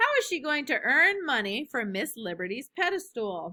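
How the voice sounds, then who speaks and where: Someone uses a put-on character voice with very wide pitch swings. The pace is moderate. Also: woman, high pitch for a woman. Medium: read story. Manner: calm, practical.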